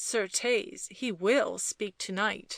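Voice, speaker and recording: A woman puts on a growling character voice. Her pitch sits fairly high. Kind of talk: archaic speech. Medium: read story. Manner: hushed, conspiratorial.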